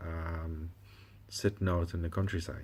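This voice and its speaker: On a very clean recording with a silent background, a man with a West Indian accent talks at a moderate pace in a very deep, low voice with a dark, mellow tone and a somewhat breathy quality. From West Indies. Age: 50s. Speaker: doctor and vlogger. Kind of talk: personal vlog. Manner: hesitant, many fillers.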